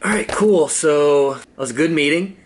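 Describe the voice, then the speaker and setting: This man talks fairly quickly in a fairly high voice with an upbeat tone. His pitch varies in an ordinary way, and there is noticeable background noise. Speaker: vlogger and comedy TV writer. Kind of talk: casual vlog. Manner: casual, upbeat.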